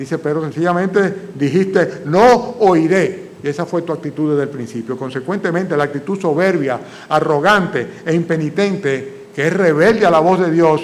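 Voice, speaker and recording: A man at a high pitch with ordinary pitch variation, hardly any pauses, and audible room echo. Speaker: pastor. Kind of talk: sermon. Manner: fast.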